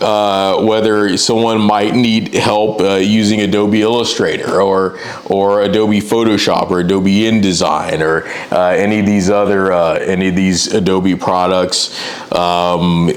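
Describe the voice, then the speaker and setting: Over noticeable background noise, a man speaks fairly slowly with a fairly low pitch and fairly even intonation. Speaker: freelance graphic designer. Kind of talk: casual talk to camera.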